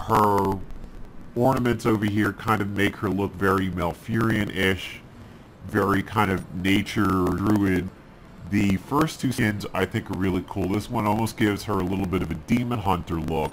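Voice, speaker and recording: Fairly even intonation from a man with a fairly low pitch, over noticeable background noise. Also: moderate pace. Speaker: gaming video host. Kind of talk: game commentary.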